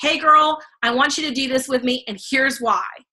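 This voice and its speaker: Putting on a character voice, a woman speaks at a fairly quick pace in a high, raspy pitch. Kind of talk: salesy, friendly. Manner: excited, upbeat.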